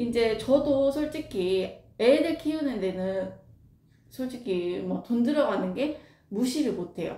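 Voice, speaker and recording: A woman's lively intonation at a very slow pace, with noticeable background noise and audible room echo. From Jeolla, South Korea. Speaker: craft workshop owner. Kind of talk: casual Q&A talk. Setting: recorded wearing a face mask. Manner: unscripted, hesitant with fillers.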